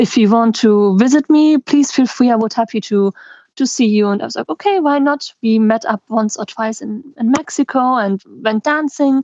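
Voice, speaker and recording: Speaking at a moderate pace with a German accent, the voice shows ordinary pitch variation in a dry, close sound with no echo and a quiet background. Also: woman. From German-speaking Belgium. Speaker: traveller and NGO worker. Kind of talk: casual interview.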